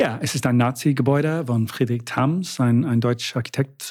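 Very clean recording, silent background. A man with an English accent speaks at a fairly slow pace with fairly even intonation. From Britain. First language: English (speaking German). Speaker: city tour guide. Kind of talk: casual interview. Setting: living room. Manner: halting.

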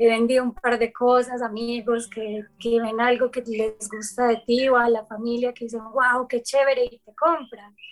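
A high-pitched woman talks in a flat monotone at a fairly slow pace, with hardly any pauses and big swings in loudness. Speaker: yoga teacher and artist. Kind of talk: casual chat.

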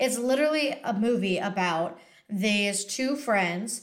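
Speaking in a normal speaking voice, a woman holds a medium pitch and lets it rise and fall in an ordinary way. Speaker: podcast co-host and screenwriter. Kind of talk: casual chat. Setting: video call.

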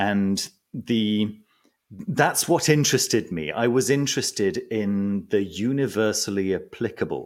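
At a fairly slow pace, a man with a medium pitch speaks with lively intonation. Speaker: magician and esoteric book reviewer. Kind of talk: casual interview chat. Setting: remote call from home. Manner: calm, relaxed.

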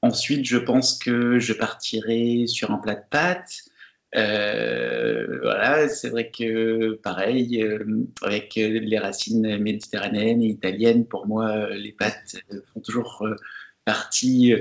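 A man at medium pitch, very slow pace, ordinary pitch variation. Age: 40s. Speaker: pastry chef. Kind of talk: interview. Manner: halting.

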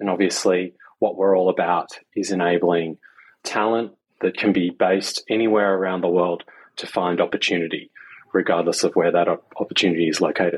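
With an Australian accent, a man speaks at a moderate pace in a very deep, low pitch and a monotone, flat intonation. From Australia, Sydney. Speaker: tech executive. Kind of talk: interview.

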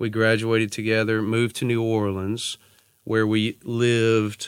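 Speech in a Louisiana accent comes at a fairly slow pace with monotone, flat intonation on a very clean recording with a silent background. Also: man. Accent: Louisiana Southern US. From northwest Louisiana (Natchitoches). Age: 30s. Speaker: attorney. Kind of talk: interview conversation. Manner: hesitant fillers, frequent uh and you know.

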